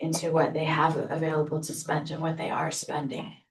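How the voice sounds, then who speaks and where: A woman with a fairly low pitch at a moderate pace, amid audible room echo. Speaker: staff member presenting to board. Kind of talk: presentation at board meeting. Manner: loud.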